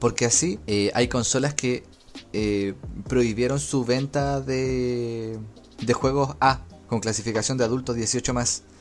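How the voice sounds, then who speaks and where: A man with a medium pitch talks very slowly, his pitch varying in an ordinary way. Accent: Chilean. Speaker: gaming podcast host. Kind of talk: casual chat.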